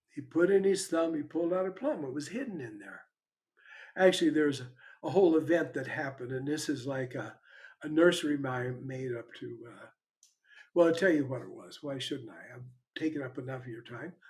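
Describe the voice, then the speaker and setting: Talking at a fairly quick pace, a man with a fairly high, somewhat breathy voice uses ordinary pitch variation and big swings in loudness. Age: 80s+. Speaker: spiritual teacher. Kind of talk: online satsang Q&A talk. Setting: online video session at a computer. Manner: halting, with repeated words.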